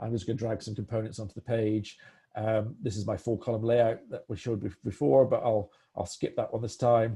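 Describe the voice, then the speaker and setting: Talking at a fairly quick pace, a man has a somewhat breathy, dark, mellow tone at medium pitch with fairly even intonation. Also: quiet background. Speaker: product demo presenter. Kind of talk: live software demo webinar. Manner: fast; hesitant, many fillers and restarts.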